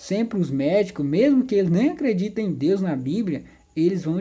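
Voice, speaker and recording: With a dark, mellow tone, a woman speaks using lively intonation. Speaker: Bible teacher. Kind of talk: tutorial.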